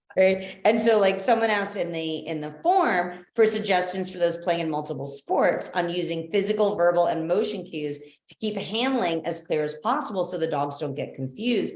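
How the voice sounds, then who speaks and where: With an animated tone, a woman talks loudly at a moderate pace and medium pitch, using ordinary pitch variation in a room with audible echo. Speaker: dog sports trainer. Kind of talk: webinar.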